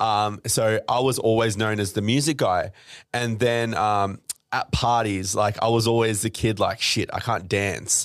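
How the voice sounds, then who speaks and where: On a very clean recording with a silent background, a man with an Australian accent speaks at a fairly slow pace in a medium pitch with fairly even intonation. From Australia, Melbourne suburbs. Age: 20s. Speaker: DJ and entrepreneur. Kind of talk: casual interview chat.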